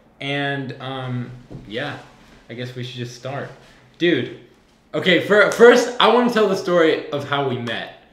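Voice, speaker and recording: With an American accent, a man speaks in a fairly high, animated voice at a fairly slow pace, his pitch swinging very widely and his loudness shifting a lot, with long, frequent pauses, noticeable background noise and audible room echo. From Southern California. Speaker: podcast host and filmmaker. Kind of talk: casual chat.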